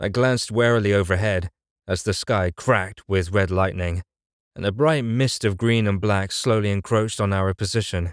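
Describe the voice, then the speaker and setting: A man with a normal speaking voice talks at a moderate pace in a fairly low pitch with fairly even intonation. The sound is dry and close with no echo, on a very clean recording with a silent background. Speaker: voice actor / audiobook narrator. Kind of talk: audiobook narration, litrpg fantasy. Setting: studio recording. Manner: first-person storytelling, serious, tense.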